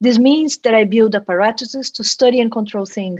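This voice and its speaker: The speaker has a Brazilian accent and ordinary pitch variation. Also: woman. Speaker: quantum engineer, professor. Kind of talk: interview.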